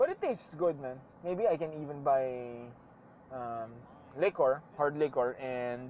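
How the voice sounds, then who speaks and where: Speaking in a Filipino accent, this voice moves at a fairly slow pace with long, frequent pauses. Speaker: vlogger. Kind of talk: casual monologue while driving. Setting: in a car. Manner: casual, code-switching.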